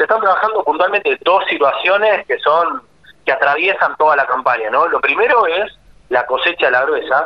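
A man at a moderate pace. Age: 30s. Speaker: agricultural management consultant. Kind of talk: radio interview.

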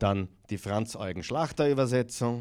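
An ordinary speaking voice from a man at medium pitch, with lively intonation and a moderate pace, on a very clean recording with a silent background. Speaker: pastor. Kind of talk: bible study sermon.

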